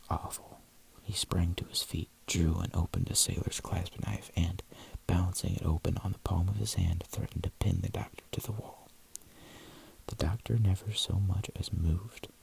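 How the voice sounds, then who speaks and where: The speaker whispers. The pace is moderate. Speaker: ASMR content creator. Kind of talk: ASMR audiobook reading. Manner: soft-spoken.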